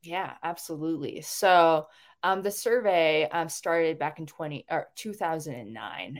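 A woman speaks in an ordinary speaking voice at a fairly low pitch, with ordinary pitch variation and a fairly slow pace. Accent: American. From Washington State, US. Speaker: transgender rights advocate and national organizer. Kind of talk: interview answers. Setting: video call.

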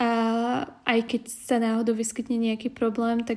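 On a very clean recording with a silent background, a woman speaks in a fairly high pitch with monotone, flat intonation. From Slovakia. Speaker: podcast co-host. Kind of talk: casual chat.

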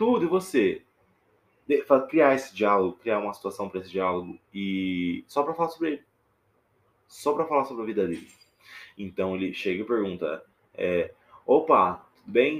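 In a Minas Gerais accent, a speaker goes at a moderate pace with long, frequent pauses, very wide pitch swings and big jumps in loudness, on a very clean recording with a silent background. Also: man, medium pitch for a man. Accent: mineiro (Minas Gerais). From Minas Gerais interior, Brazil. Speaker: podcaster. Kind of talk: casual monologue. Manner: hesitant, with fillers.

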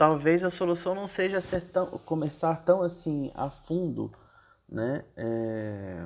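A man's fairly high voice rises and falls with lively intonation at a very slow pace. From Brazil, Brasília. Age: 30s. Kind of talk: casual talk on gender and parenting. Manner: hesitant, many fillers.

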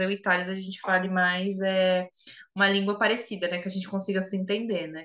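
A woman's fairly quick delivery in a monotone, flat intonation. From Brazil, São Paulo. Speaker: podcast co-host, tarot reader and psychologist. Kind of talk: casual chat.

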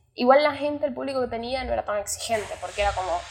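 Her voice is fairly high in pitch. The woman talks at a very fast pace. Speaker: coffee roaster and barista. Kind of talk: interview.

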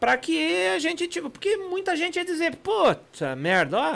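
A man talks with very wide swings in pitch. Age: 40s. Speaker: boat manufacturer. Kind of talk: casual chat. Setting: studio.

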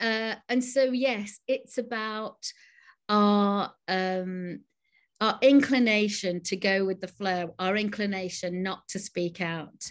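A woman with a northern English accent, very slow pace and a quiet background. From northern England. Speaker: novelist and creative writing teacher. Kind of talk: casual interview. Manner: hesitant, many fillers and repetitions.

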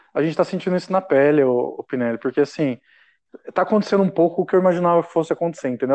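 Man's voice, high in pitch, with ordinary pitch variation and a quiet background. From Brazil, Caçapava (São Paulo state). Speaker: humor writer and performer. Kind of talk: casual chat.

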